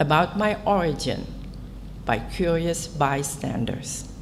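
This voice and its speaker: This woman's very slow speech comes with audible room echo and noticeable background noise. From Indonesia. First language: Dutch. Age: 80s+. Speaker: author. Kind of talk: conference talk. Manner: formal.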